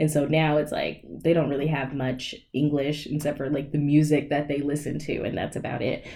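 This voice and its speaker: A woman talks at a moderate pace with hardly any pauses, in a very deep, low voice. Her dark, mellow tone stays monotone and flat. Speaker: podcast guest. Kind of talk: casual chat.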